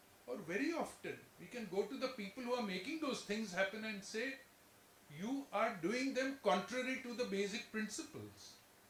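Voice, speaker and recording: A man's high-pitched voice at a moderate pace, with audible room echo. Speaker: chartered accountant and former auditor. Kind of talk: lecture. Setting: lecture hall with in-person and online audience. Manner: halting, with frequent self-corrections.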